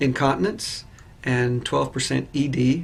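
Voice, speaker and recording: A man's somewhat breathy voice, medium in pitch, at a moderate pace. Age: 60s. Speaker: patient. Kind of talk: testimony. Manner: hesitant with fillers.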